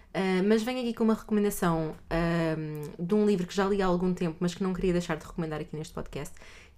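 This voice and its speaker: Speaking in a European Portuguese accent at a fairly quick pace, a woman has a dark, mellow tone, a fairly low pitch and ordinary pitch variation. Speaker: podcast co-host. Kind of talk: casual chat.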